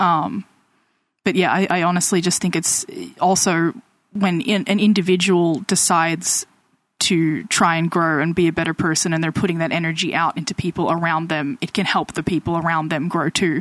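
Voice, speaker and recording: With an unremarkable speaking voice, a woman talks at a moderate pace, fairly low in pitch and with fairly even intonation. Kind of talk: casual chat.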